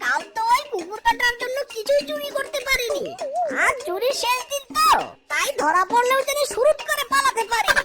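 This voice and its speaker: At a moderate pace, the speaker uses a cartoonish character voice. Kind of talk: comic cartoon acting. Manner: cheeky, boastful.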